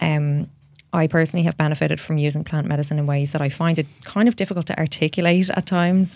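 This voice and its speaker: A woman's very deep, low voice in an Irish accent, fairly quick, with very even loudness and fairly even intonation. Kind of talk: interview conversation.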